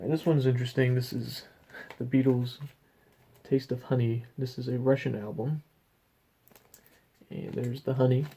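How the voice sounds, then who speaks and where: A man with a medium pitch and a dark, mellow tone speaks at a moderate pace, somewhat breathy, with fairly even intonation and long, frequent pauses. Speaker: vinyl record collector. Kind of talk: casual show-and-tell video.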